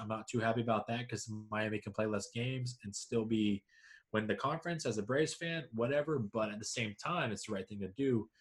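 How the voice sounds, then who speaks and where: A man with an unremarkable speaking voice and an American accent talks at a fairly low pitch. His pace is fairly quick, on a very clean recording with a silent background. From US South, Georgia. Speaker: sports podcast co-host. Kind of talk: casual chat.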